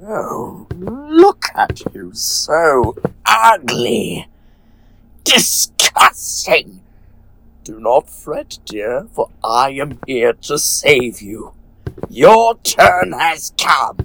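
A man's high voice at a very slow pace. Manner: singsong, rhyming, unhinged.

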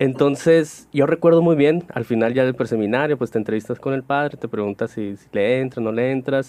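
A man with an unremarkable speaking voice talks at a fairly quick pace and medium pitch, with hardly any pauses, ordinary pitch variation and big swings in loudness. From Sonora, Mexico (Cananea). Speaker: priest. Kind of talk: casual chat.

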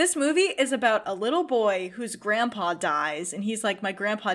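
Lively intonation runs through a woman's medium-pitched delivery at a moderate pace, an ordinary speaking voice. The recording is very clean, with a silent background. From Massachusetts, US. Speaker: film content creator. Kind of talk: casual chat.

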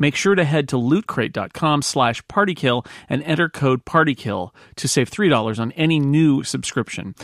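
In a normal speaking voice, a man talks at a moderate pace with lively intonation and a fairly high pitch, captured as a dry, close sound with no echo on a very clean recording with a silent background. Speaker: podcast host and player. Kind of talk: casual game chat plus scripted ad read.

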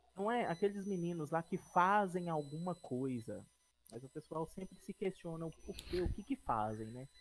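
A high-pitched man with lively intonation. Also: moderate pace. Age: 30s. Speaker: podcast co-host, production company partner. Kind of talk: casual chat. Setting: live stream, improvised outside studio.

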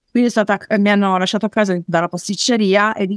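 A woman's unremarkable speaking voice at medium pitch and fairly quick pace, dry and close with no echo, on a very clean recording with a silent background. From northern Italy, Turin. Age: 40s. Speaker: network marketer. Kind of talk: interview testimony.

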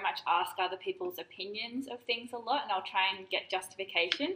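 A normal speaking voice, delivered at a moderate pace. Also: woman. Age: 30s. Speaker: podcast host. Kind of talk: casual chat.

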